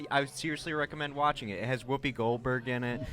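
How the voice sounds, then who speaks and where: A man's fairly even intonation, with music in the background. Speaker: podcast co-host. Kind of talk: casual chat. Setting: live show with audience. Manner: quiet, soft-spoken.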